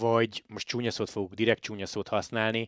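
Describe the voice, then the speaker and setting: A man at a moderate pace and medium pitch, an unremarkable speaking voice, dry and close with no echo over a quiet background. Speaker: cycling podcast host. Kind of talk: casual interview.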